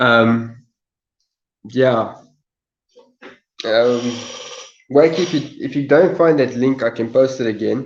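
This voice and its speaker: With long, frequent pauses, a man at a medium pitch talks at a very slow pace. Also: ordinary pitch variation. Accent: South African. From South Africa. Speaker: live streamer. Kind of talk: casual live stream chat. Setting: live stream from phone. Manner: halting, repetitive.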